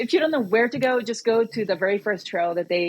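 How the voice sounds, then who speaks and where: The speaker has a Korean accent. Pitch moves in an ordinary way. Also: woman. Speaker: trail organization representative. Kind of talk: podcast interview.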